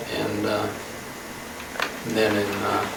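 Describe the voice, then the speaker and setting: The speaker has an American accent and talks at a fairly slow pace. Room echo and noticeable background noise can be heard. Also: man. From Nebraska, US Midwest (Elkhorn). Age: 90s. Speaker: local resident, oral history interviewee. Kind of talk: oral history interview. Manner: casual, reminiscing with fillers.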